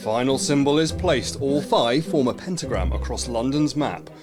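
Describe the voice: What you hear is plain reading aloud.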